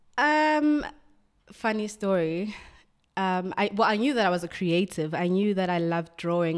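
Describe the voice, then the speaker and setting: A woman with a South African accent speaks at a fairly slow pace on a very clean recording with a silent background. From South Africa, Soweto. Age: 20s. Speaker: magazine art director. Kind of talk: interview.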